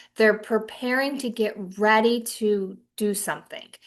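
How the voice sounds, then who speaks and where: An unremarkable speaking voice from a woman with a fairly high pitch, ordinary pitch variation, and a quiet background. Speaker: financial advisor trainer. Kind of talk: webinar presentation.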